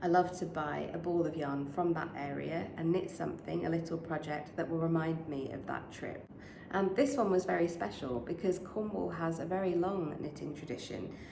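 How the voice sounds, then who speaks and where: Someone with a British accent speaks at a moderate pace with ordinary pitch variation, amid noticeable background noise and audible room echo. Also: woman, fairly low pitch for a woman. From UK. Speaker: knitting podcaster. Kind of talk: casual vlog chat. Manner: hesitant, many fillers.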